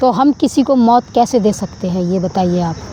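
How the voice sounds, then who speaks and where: A loud, animated woman's voice amid noticeable background noise. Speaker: spiritual vlogger. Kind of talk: preachy monologue to camera.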